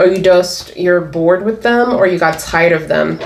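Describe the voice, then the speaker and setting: The speech moves at a moderate pace with ordinary pitch variation, amid noticeable background noise and audible room echo. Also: woman. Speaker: tarot reader. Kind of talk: tarot reading. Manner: animated.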